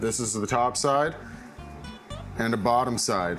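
Faint music plays in the background. A man speaks fairly slowly with ordinary pitch variation. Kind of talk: tutorial. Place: kitchen.

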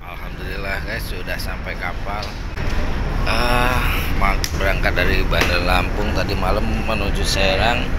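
A man's words come out at a very slow pace amid loud background noise. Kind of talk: casual vlog chat. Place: boat. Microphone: phone near.

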